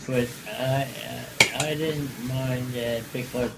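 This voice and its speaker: The speaker has an American accent and fairly even intonation. Noticeable background noise runs under the voice. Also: man. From Baltimore, Maryland. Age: 80s+. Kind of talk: interview answer. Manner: slow, hesitant.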